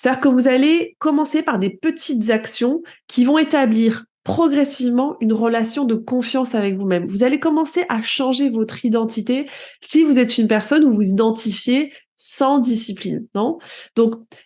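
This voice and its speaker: High in pitch with ordinary variation, a woman speaks in a dark, mellow tone. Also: moderate pace. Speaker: personal development coach and podcaster. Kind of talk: solo podcast monologue. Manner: conversational, some self-corrections.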